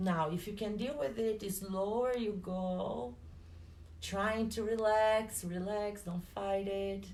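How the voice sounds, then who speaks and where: A woman with a non-native accent speaks with fairly even intonation, and room echo is audible. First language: not English. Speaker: personal trainer and fitness instructor. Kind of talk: guided exercise class.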